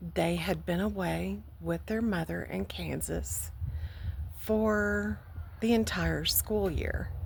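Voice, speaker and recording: Speaking very slowly, a woman takes her time. She has an American accent. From Texas, Houston. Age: 60s. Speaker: vlogger. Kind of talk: personal testimony. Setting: outdoors by a lake.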